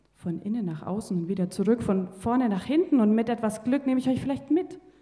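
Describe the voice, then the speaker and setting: Against a quiet background, a woman speaks at a moderate pace with lively intonation. Her tone is dark and mellow, and somewhat breathy. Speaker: poetry slam performer. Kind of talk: poetry slam performance. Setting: live stage with audience. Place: stage. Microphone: handheld.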